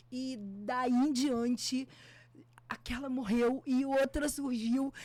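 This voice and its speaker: A woman speaks at a very slow pace in a high pitch. Her tone is dark and mellow, with flat, monotone intonation. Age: 60s. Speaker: photographer and music teacher. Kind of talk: podcast interview.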